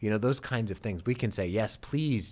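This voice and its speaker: A man speaks with fairly low pitch and lively intonation in an ordinary speaking voice. The recording is very clean, with a silent background. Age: 50s. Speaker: pastor. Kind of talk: casual chat. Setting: studio.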